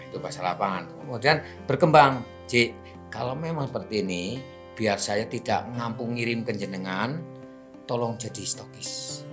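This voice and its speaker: Music plays in the background as a man speaks with a Banyumasan accent. His medium-pitched voice has lively intonation. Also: moderate pace. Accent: Banyumasan (ngapak) Javanese. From Cilacap, Central Java, Indonesia. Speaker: retired state electricity company employee and network marketing seller. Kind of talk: interview answer.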